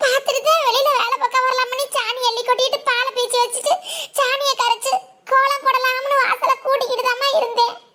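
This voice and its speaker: A woman performs a cartoonish character voice at an extremely high pitch. She speaks at a fairly slow pace with fairly even intonation. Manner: hesitant, stammering.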